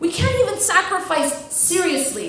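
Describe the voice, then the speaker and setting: A woman speaks at a moderate pace with ordinary pitch variation. Background noise is noticeable. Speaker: Islamic lecturer. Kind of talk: Islamic lecture / motivational talk to an audience.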